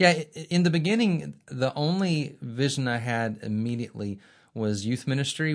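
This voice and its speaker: With an Alabama accent, a man speaks using lively intonation. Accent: Southern US (Alabama). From Birmingham, Alabama. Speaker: divinity school center director and former missionary. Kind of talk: interview. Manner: halting, repeats words.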